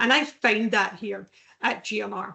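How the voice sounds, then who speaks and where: A woman is speaking. She has a Scottish accent. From Scotland. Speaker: veterans recruitment professional. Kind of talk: podcast interview.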